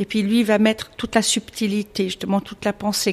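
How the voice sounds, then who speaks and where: Noticeable background noise surrounds the speaker. She is a woman with a fairly high pitch. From Switzerland. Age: 50s. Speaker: illustrator. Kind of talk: interview.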